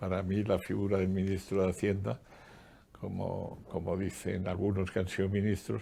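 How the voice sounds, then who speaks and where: The man's voice is very deep and low, with a dark, mellow tone and vocal fry. His intonation stays monotone and flat. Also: moderate pace. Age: 80s+. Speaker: economist and former public official. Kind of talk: interview.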